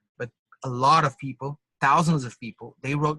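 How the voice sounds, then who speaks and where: A man with a Portuguese accent speaks fairly slowly in a fairly high, bright, sharp voice with monotone, flat intonation and a dry, close sound with no echo. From Brazil. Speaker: drummer and musician. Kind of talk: interview. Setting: call, videotaped. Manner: halting, with false starts.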